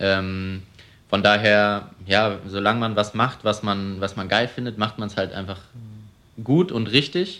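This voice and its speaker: A man's fairly low voice, a normal speaking voice, at a fairly slow pace with fairly even intonation on a very clean recording with a silent background. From Germany, Cologne. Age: 20s. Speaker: young entrepreneur, car dealer. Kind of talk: interview. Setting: showroom.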